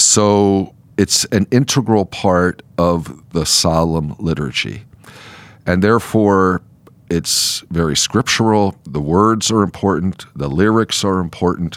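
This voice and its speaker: At a very slow pace, a man speaks in a very deep, low pitch with ordinary pitch variation. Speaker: bishop. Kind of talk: casual chat. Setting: studio.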